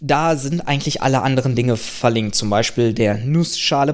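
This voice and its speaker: A man's unremarkable speaking voice, medium-pitched, with ordinary pitch variation. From Germany. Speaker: podcaster and doctoral researcher. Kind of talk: casual chat.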